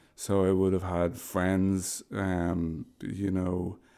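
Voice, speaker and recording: In a very clean recording with a silent background, a man speaks with a very deep, low pitch, a dark, mellow tone, and monotone, flat intonation. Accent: Dublin. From Ireland, Dublin. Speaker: homelessness services manager. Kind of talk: podcast interview.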